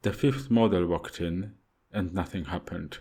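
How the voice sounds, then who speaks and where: In a Polish accent, a man speaks with a very deep, low pitch. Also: very clean recording, silent background. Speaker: audiobook narrator. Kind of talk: audiobook fiction reading.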